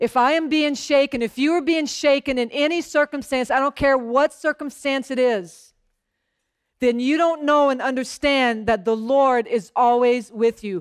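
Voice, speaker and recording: A woman's high-pitched voice at a moderate pace, with ordinary pitch variation over a quiet background. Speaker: pastor. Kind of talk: sermon. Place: church. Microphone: headset.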